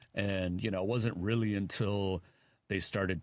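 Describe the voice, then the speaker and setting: The background is silent and the recording very clean. A man talks at a moderate pace. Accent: Chicago. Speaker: radio host. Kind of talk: casual chat.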